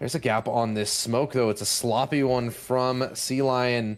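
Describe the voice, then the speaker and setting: Against noticeable background noise, the speaker talks at a fairly slow pace in a monotone, flat intonation. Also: man. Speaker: esports caster. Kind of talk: live commentary.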